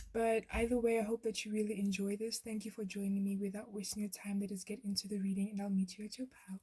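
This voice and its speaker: Somewhat breathy and dark, mellow in tone, a woman talks very fast at a medium pitch with monotone, flat intonation. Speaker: tarot reader. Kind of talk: tarot pick-a-card reading. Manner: stuttering.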